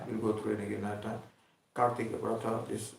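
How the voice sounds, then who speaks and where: With audible room echo, a man rushes through his words at a very fast pace. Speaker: spiritual teacher. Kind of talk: religious discourse.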